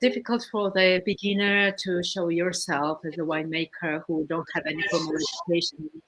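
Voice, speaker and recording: Over noticeable background noise, a woman with a Georgian accent speaks at a moderate pace with hardly any pauses, using a fairly low pitch and fairly even intonation. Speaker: winemaker. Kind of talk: panel discussion. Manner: halting.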